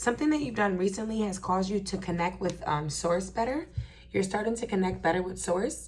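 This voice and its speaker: Vocal fry from a woman at a fairly quick pace, with audible room echo. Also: medium pitch for a woman, ordinary pitch variation. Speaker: tarot reader. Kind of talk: tarot reading for a collective audience. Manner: halting, stuttering.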